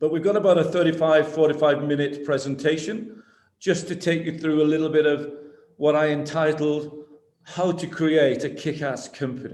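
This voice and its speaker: Speaking at a moderate pace in a Lancashire accent, a man with a fairly high pitch uses ordinary pitch variation, and audible room echo surrounds his voice. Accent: Wigan. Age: 60s. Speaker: business executive. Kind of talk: online talk to students. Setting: video call.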